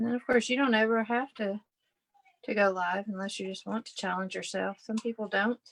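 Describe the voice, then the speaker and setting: Against a quiet background, a woman with a fairly high pitch talks at a fairly quick pace, her intonation fairly even and her loudness swinging widely. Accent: Southern US. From Kentucky. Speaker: scrapbooking livestream host, former teacher. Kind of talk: live crafting livestream chat. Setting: live online video stream. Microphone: video call.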